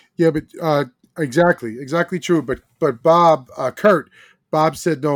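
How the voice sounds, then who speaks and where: A man's normal speaking voice, fairly high in pitch at a moderate pace, on a very clean recording with a silent background and a dry, close sound with no echo. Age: 60s. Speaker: podcast co-host. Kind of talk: casual chat.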